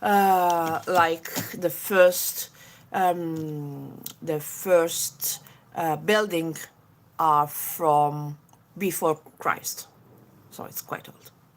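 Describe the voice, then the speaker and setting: Speaking at a very slow pace with long, frequent pauses, a woman keeps a fairly even intonation while her loudness swings widely. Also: fairly low pitch for a woman. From Italy, Genoa. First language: Italian. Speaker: beauty YouTuber. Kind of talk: live makeup tutorial chatting with viewers. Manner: halting, many fillers.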